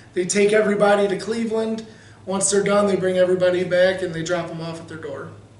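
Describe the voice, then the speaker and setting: A man talks at a very fast pace in a high, monotone voice with flat intonation. Audible room echo surrounds him. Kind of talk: interview answer. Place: meeting room. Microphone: camera far.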